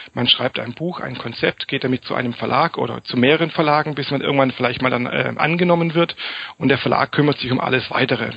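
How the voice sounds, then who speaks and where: A man speaks at a very fast pace and medium pitch with fairly even intonation. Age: 30s. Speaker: self-publishing author and PR consultant. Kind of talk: interview.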